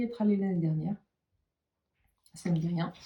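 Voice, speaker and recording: A woman with a dark, mellow tone talks at a medium pitch in a somewhat breathy voice. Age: 40s. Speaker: knitting and sewing YouTuber. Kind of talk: casual vlog talk to viewers. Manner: hesitant, many filler sounds.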